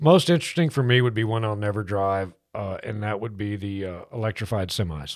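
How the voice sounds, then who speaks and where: A man with an American accent has a plain, everyday voice, fairly low in pitch, moving at a fairly quick pace with hardly any pauses and ordinary pitch variation. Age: 50s. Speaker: radio car show host. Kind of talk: casual chat. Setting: studio.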